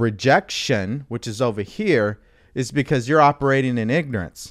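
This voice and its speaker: A man with an American accent speaks at a moderate pace and medium pitch, an ordinary speaking voice with lively intonation. The recording is very clean, with a silent background. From California. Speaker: mindset coach. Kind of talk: livestream talk.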